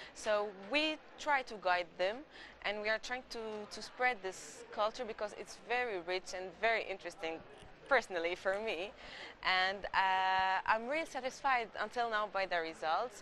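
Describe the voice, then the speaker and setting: With an Egyptian accent, a woman talks at a moderate pace in a medium pitch, her tone bright and sharp and her pitch varying in an ordinary way. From Egypt, Alexandria. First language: Arabic. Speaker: Greek culture promoter, interviewee. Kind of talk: TV interview. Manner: halting, repeats words.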